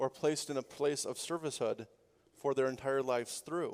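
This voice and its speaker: A man with an unremarkable speaking voice, a medium pitch, fairly even intonation and a fairly quick pace. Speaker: pastor. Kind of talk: sermon.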